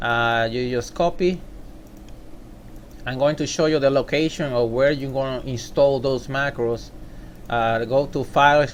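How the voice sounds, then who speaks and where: With a Puerto Rican accent, a man talks at a medium pitch and a fairly slow pace, his intonation fairly even and broken by long, frequent pauses. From Puerto Rico. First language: Spanish. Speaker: software tutorial maker. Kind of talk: tutorial. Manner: halting.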